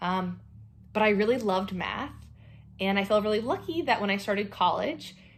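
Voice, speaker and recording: A woman's normal speaking voice at a fairly quick pace, with ordinary pitch variation. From North Carolina. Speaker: astronomer, panel speaker. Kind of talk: career talk to students.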